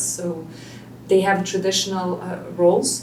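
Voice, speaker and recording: Noticeable background noise and audible room echo around a woman's speech. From Belgium. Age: 30s. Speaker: single mother and business owner. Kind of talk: interview. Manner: hesitant.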